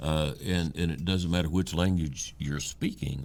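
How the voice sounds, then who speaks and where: Delivered at a moderate pace with an Ohio accent, the voice shows vocal fry and ordinary pitch variation. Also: man. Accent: southern-sounding hillbilly Ohio. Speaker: podcast co-host. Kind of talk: casual chat.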